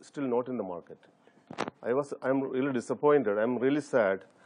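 This man has a Keralan accent and a medium pitch. He speaks at a moderate pace with ordinary pitch variation. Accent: Indian English, Malayali. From India, Kerala. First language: Malayalam. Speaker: fund manager. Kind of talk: TV interview. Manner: halting. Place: studio.

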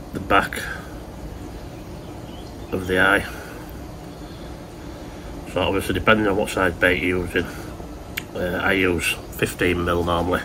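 A man speaks slowly at a low pitch, with long, frequent pauses. Clear background noise can be heard.

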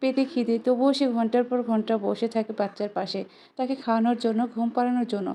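A woman speaks at a fairly high pitch. Her intonation is flat and monotone. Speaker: vlogger, new mother. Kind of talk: vlog voiceover narration.

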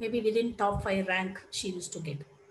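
A woman speaks in a somewhat breathy voice. There is audible room echo. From India. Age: 40s. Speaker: lecturer. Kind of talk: lecture. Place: home room. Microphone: headset.

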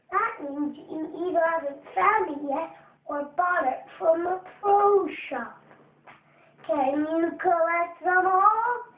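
A put-on character voice at an extremely high pitch moves at a very slow pace. There is a slight echo. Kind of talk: game tutorial announcer. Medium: video game. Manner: upbeat, salesy.

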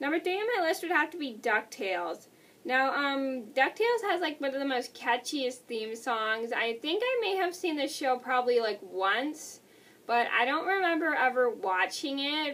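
A woman speaks with a high pitch and very wide pitch swings. Her pace is moderate. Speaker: vlogger. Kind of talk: casual vlog chat. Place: home room. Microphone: webcam.

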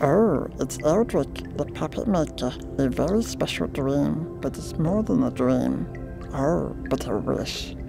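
A put-on character voice at a fairly slow pace over loud background music.

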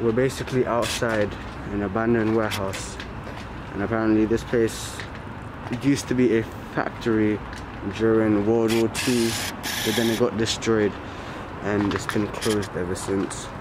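A man speaks in a monotone, flat intonation with long, frequent pauses. The sound is dry with no echo, though there is noticeable background noise. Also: moderate pace. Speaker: urban explorer vlogger. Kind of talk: casual vlog chat. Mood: nervous, a bit scared. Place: street. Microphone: phone near.

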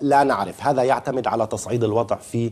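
A man speaking at a fairly quick pace. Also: quiet background. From Palestine. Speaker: journalist. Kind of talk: televised panel debate. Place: studio. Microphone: lapel.

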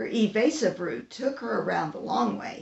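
Simply a natural reading voice.

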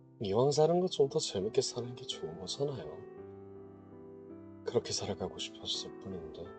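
A man talks at a moderate pace with long, frequent pauses and big swings in loudness while music plays in the background. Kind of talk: ASMR voice-recording monologue.

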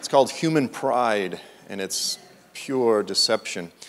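This man speaks with an American accent. His intonation is lively. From Massachusetts. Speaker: preacher and author. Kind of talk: sermon. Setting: church. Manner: animated. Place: church.

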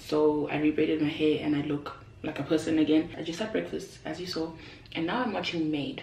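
A woman with a low pitch and vocal fry speaks in a slightly mellow tone with fairly even intonation, with audible room echo around her. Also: fairly quick pace.

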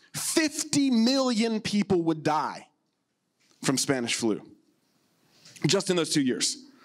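A very slow-talking man in quiet surroundings. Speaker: pastor. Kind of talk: sermon. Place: stage. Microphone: handheld.

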